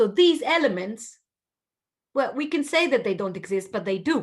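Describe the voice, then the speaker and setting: A woman speaks with an Italian accent at a moderate pace. Her intonation is lively. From Southern Italy. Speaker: linguistics professor. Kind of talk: lecture. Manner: animated.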